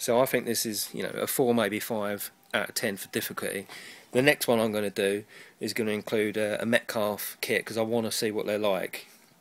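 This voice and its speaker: Speaking fairly quickly with an English accent, a man delivers his lines in a fairly low voice with monotone, flat intonation. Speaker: hobbyist model railway maker. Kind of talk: casual tutorial. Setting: cold loft at home. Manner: hesitant, many ums.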